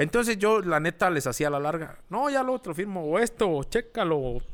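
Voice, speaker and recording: On a very clean recording with a silent background, a man with a high pitch talks at a moderate pace with very wide pitch swings. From rural Mexico. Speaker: social media page creator, former radio host. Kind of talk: casual chat.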